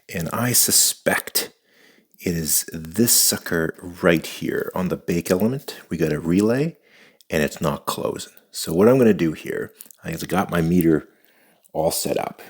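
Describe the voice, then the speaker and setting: A man speaks quietly. His pace is fairly slow. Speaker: DIY repair video maker. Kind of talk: tutorial.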